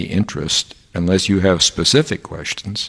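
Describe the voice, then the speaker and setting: The man speaks with an American accent. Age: 70s. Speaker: professor. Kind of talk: interview. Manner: hesitant, many fillers.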